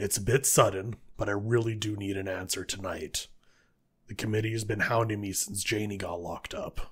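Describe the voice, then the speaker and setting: In a raspy, put-on character voice, a man speaks at a moderate pace with fairly low pitch and flat, monotone intonation. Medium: audio drama. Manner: blunt, dry.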